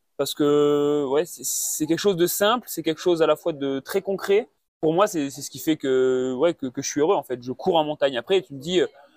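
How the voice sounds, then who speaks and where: The sound is dry and close, with no echo, as a man speaks at a moderate pace with ordinary pitch variation. His fairly high voice swings a lot in loudness. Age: 20s. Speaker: mountain runner. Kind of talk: interview. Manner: halting, many fillers and repetitions.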